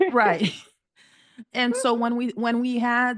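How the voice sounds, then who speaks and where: A woman speaks very slowly with a quiet background. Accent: American. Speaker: professor and conference founder. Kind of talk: podcast interview.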